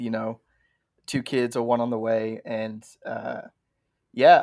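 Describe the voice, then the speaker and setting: Speaking at a medium pitch, this man has an English accent. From England. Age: 30s. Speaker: pastor. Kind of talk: podcast interview.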